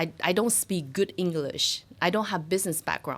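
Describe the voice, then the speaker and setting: A woman with a Chinese accent speaks at a very fast pace. Her pitch is fairly low, with ordinary variation. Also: very clean recording, silent background. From China (Shanghai). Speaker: financial services business owner. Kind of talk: interview. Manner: hesitant, many fillers.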